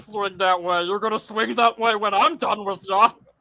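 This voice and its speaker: This is a put-on character voice from a man. The pitch sits high. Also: moderate pace. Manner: threatening.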